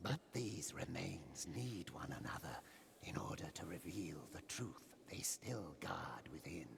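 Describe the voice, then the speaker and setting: A man whispers at a fairly slow pace in a put-on character voice. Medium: video game. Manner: slow, solemn, reverent.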